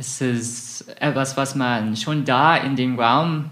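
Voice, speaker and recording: A man with an English accent. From southern England, Isle of Wight. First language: English (speaking German). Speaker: researcher in music and theology. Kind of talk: interview. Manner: hesitant, many fillers.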